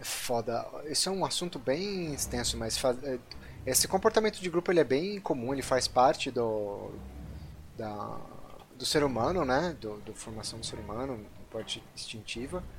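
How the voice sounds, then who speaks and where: Lively intonation marks this fairly slow delivery with long, frequent pauses. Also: man. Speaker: podcast host, computer scientist. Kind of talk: casual chat.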